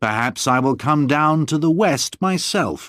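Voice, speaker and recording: Doing a put-on character voice, a man speaks at a fairly high pitch and a moderate pace on a very clean recording with a silent background. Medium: read story. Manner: domineering, intimidating.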